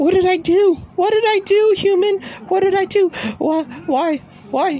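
A put-on character voice, extremely high in pitch and fairly slow, with clear background noise. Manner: pleading, wailing.

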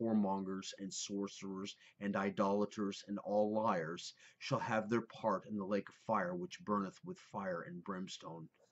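At a moderate pace and with fairly even intonation comes an ordinary speaking voice. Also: man. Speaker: speaker. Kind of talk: scripture reading. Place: home room.

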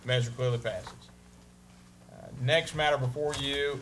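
A man speaks with a Southern US accent in a flat, monotone delivery over light background noise. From US South. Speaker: mayor chairing city council meeting. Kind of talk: formal public meeting. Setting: council chamber. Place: meeting room. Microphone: podium.

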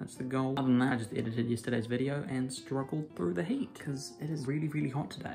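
Over faint music in the background, a man talks at a very fast pace with ordinary pitch variation. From New Zealand. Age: young. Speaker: film and theatre student. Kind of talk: casual vlog talk to camera. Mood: relaxed, a bit tired from heat. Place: home room. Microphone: phone near.

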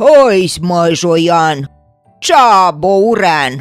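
A man shouts in a put-on character voice at a high pitch with lively intonation. Faint music plays in the background. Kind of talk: storytelling character lines. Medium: audio drama. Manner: shouting, rustic.

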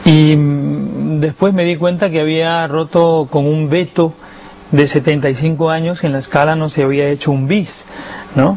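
Fairly slow speech from a man with a Lima accent and a fairly high pitch, amid noticeable background noise. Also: fairly even intonation. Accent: Lima Peruvian Spanish, refined. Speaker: opera tenor. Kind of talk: interview answer.

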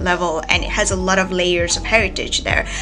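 A woman speaks with music in the background. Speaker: book vlogger. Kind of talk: casual vlog chat. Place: home room. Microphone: phone near.

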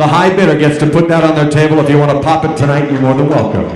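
A man talks at a very fast pace with fairly even intonation. Room echo is audible. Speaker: professional charity auctioneer. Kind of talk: live charity auction, auctioneer patter. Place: hall.

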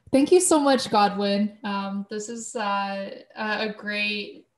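Over a silent background in a very clean recording, a woman with a Canadian accent speaks at a fairly high pitch in a somewhat breathy voice. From Canada. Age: 20s. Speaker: life coach and podcast host. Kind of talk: casual interview.

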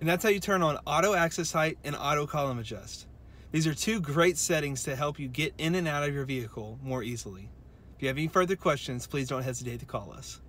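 In a dry sound with no echo, a man talks at a very fast pace with ordinary pitch variation. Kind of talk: tutorial. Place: car. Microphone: phone near.

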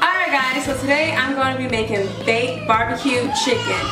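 Clear music in the background behind a woman talking at a moderate pace. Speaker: home cook vlogger. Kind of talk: cooking tutorial chat. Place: kitchen.

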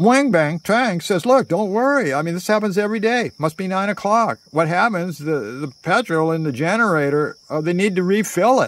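The speech moves at a moderate pace with lively intonation, and the sound is dry with no echo. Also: man, high pitch for a man. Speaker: storyteller. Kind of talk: casual storytelling monologue. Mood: playful, theatrical storytelling. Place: garden. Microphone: phone near.

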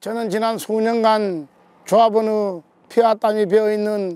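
High for a man, this voice has a dark, mellow tone, a fairly slow pace, and a dry sound with no echo. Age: 60s. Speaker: election candidate. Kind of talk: campaign speech. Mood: earnest, appealing for votes. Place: open country.

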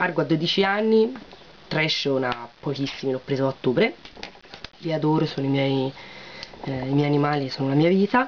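A woman speaks at a moderate pace with a very deep, low pitch and lively intonation. Her speech has long, frequent pauses over light background noise. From Tuscany, Siena; Tuscany. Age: 20s. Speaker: beauty vlogger and beautician; beauty vlogger. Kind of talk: casual vlog chat. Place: home room. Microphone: webcam.

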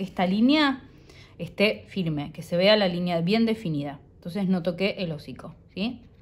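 A woman with a Rioplatense accent speaks in a somewhat breathy voice at a moderate pace, with ordinary pitch variation. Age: 40s. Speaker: illustrator and drawing teacher. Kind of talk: tutorial. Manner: warm, encouraging.

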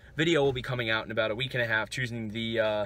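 Clear music plays behind a man's voice. The sound is dry with no echo, and his pitch varies in an ordinary way. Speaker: food review vlogger. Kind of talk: casual vlog chat. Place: car. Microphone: phone near.

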